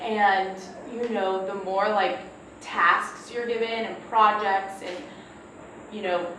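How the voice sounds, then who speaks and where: Speaking at a very slow pace with long, frequent pauses, a woman with an American accent uses a medium pitch and monotone, flat intonation, her loudness swinging widely amid audible room echo and noticeable background noise. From Texas. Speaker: panelist who supervises interns. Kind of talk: panel discussion.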